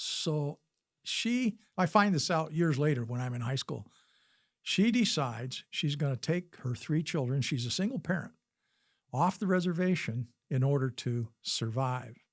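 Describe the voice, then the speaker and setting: Somewhat breathy, a man with an American accent speaks at a fairly slow pace on a very clean recording with a silent background. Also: fairly high pitch for a man, lively intonation. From Wisconsin, US Midwest; raised partly in Utah. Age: 70s. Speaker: physician and army veteran. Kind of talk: interview storytelling.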